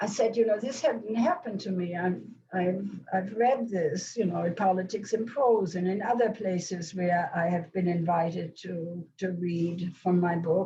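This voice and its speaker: Noticeable background noise and audible room echo surround a woman speaking at a fairly slow pace. Her pitch is medium, with ordinary pitch variation. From Germany, Hamburg. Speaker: Holocaust survivor and author. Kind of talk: question and answer after lecture. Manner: halting, many restarts.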